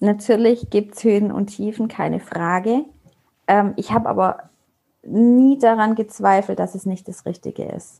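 Moving at a moderate pace, the speech has a dark, mellow tone and ordinary pitch variation. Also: woman. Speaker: network marketer, mother. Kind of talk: casual interview. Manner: hesitant fillers.

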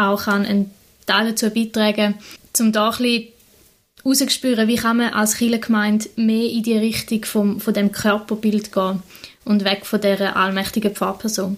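At a moderate pace, a woman with a fairly high pitch and a somewhat breathy voice speaks in a monotone, flat intonation with very even loudness. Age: 20s. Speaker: vicar (trainee pastor), podcast co-host. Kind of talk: casual conversation.

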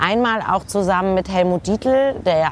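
Noticeable background noise sits under a woman talking at a medium pitch, her pitch varying in an ordinary way. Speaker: lawyer, author and TV presenter. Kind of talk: casual chat. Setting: outdoors at a kiosk bar.

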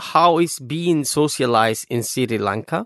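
Speaking at a fairly slow pace with a Cuban accent, a man with a fairly high pitch uses lively intonation in a dry, close sound with no echo. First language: Spanish. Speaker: podcast host. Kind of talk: interview.

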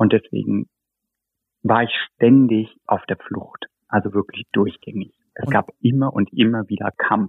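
Fairly slow and broken by long, frequent pauses, the delivery keeps a fairly even intonation. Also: man, fairly low pitch for a man. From northern Hesse, Germany (near Kassel). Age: 30s. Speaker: photographer and art director. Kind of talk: personal interview, life story. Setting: video call. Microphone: video call audio, lower than studio quality.

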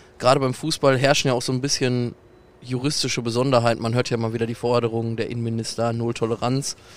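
Monotone and flat in intonation, a man speaks at a very fast pace. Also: medium pitch for a man. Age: 20s. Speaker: football fan legal aid volunteer. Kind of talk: casual interview. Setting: outdoors in a football stadium stand.

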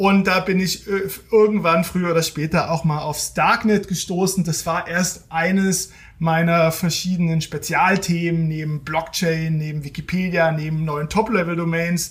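A high-pitched man speaks with monotone, flat intonation. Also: fairly slow pace. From eastern Germany (Halle, Saxony-Anhalt). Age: 40s. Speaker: technology journalist and author. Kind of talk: interview.

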